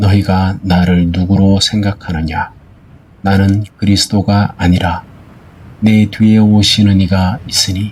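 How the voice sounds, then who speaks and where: A man's very slow, monotone delivery at a fairly low pitch, with flat intonation and very even loudness. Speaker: Bible reader. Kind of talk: Bible reading for sleep. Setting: rain and thunder sound background.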